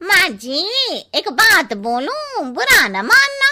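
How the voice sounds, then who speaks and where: A woman's cartoonish character voice, extremely high-pitched, very slow, with very wide pitch swings. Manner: blunt, cheeky.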